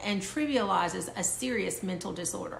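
A woman talks at a moderate pace, and audible room echo surrounds her. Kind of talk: educational talk to camera. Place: home room. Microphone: phone near.

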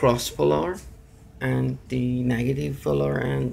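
Over light background noise, a man speaks at a very slow pace with very wide pitch swings. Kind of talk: tutorial. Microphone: phone near.

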